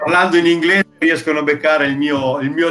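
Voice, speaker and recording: Faint music plays in the background as a man with a fairly high pitch speaks at a moderate pace. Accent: strong Romagnol. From Emilia-Romagna, Italy (Ferrara area); Emilia-Romagna, Italy. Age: 50s. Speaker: air conditioning installer; interview guest. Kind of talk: interview. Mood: warm, smiling, emotional. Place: home room. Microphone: video call.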